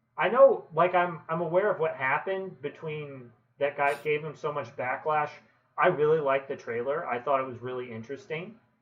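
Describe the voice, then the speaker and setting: A man talks fairly quickly in a fairly high pitch, his pitch varying in an ordinary way. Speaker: streamer. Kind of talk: casual chat. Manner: loud.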